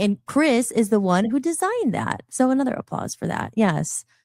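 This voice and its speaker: A woman at a fairly high pitch and a fairly quick pace, with lively intonation, in a dry, close sound with no echo. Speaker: podcast host. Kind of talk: casual interview chat. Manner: talkative.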